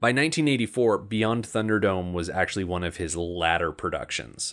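In a plain, everyday voice, the speaker moves at a moderate pace with lively intonation over a very clean recording and a silent background. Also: man. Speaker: podcast co-host. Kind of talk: casual chat.

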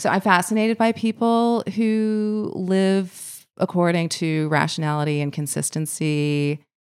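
On a very clean recording with a silent background, a woman in a normal speaking voice talks at a fairly slow pace, with medium pitch and ordinary pitch variation. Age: 40s. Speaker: author and English teacher. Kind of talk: casual interview. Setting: in person.

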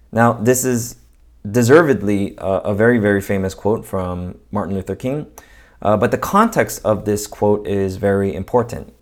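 A man with an American accent, fairly low pitch, ordinary pitch variation and a moderate pace, on a very clean recording with a silent background. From Los Angeles, US. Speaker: pastor. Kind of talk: sermon. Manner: casual, halting with fillers.

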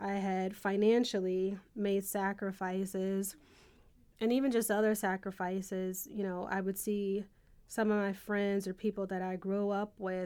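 In a very clean recording with a silent background, a woman with a medium pitch and an American accent speaks in a dark, mellow tone with a monotone, flat intonation. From Buffalo, New York, US. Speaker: judge. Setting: studio.

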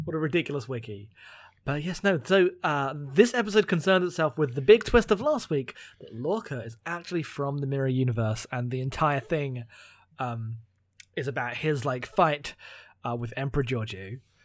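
A man's fairly high voice with lively intonation and a British accent. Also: moderate pace. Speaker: podcast co-host. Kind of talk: casual chat.

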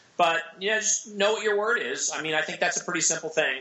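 A man talks at a very fast pace and a high pitch in an American accent. Noticeable background noise runs underneath. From US Pacific Northwest, Seattle. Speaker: entrepreneur and author. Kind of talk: casual chat.

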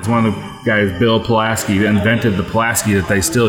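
A man with an American accent, fairly low pitch and monotone, flat intonation, plus audible room echo and music in the background. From US Pacific Northwest, Portland, Oregon. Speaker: brewery co-founder. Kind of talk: casual interview. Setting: at the brewery.

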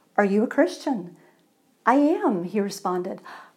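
A woman speaks in a warm, animated tone with very wide pitch swings. The recording is very clean, with a silent background. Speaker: pastor. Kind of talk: sermon; dramatic narration of a joke, voicing both men in turn. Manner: animated, theatrical storyteller, building excitement with each exchange; self-deprecating, conversational, warm.

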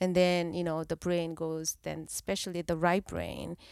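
In a Korean accent, a woman speaks with a fairly low pitch and monotone, flat intonation at a moderate pace, in a very clean recording with a silent background. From South Korea. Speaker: therapist. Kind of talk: casual chat.

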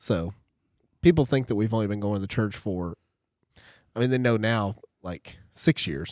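A man with a fairly low pitch speaks at a moderate pace with lively intonation and long, frequent pauses, the sound dry and close with no echo, the recording very clean with a silent background. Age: 40s. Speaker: church class teacher, guest. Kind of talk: casual chat.

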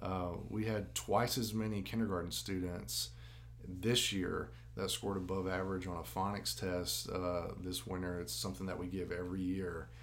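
A man with a Tennessee accent speaks in a very deep, low voice at a moderate pace. His intonation is lively, and audible room echo surrounds him. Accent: Southern US (Tennessee). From West Tennessee (Jackson). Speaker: school district academic officer. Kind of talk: casual interview. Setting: recorded live at a venue.

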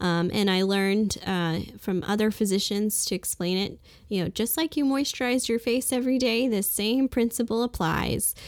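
With an American accent, a woman talks at a moderate pace in a normal speaking voice with a fairly high pitch, very even loudness and hardly any pauses. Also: ordinary pitch variation. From US Northeast, Brooklyn, New York. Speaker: physician. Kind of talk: interview.

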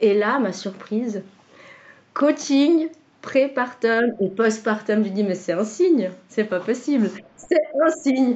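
Fairly high female voice with lively intonation, a very slow pace and long, frequent pauses. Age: 40s. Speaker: client, stay-at-home mother and former nurse. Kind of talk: testimony. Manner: halting, many hesitations and repetitions.

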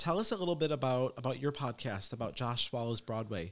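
Over a very clean recording with a silent background, a man with a normal speaking voice talks at a fairly quick pace, medium in pitch, with lively intonation. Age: 30s. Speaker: podcast host and psychic medium. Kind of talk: casual interview chat.

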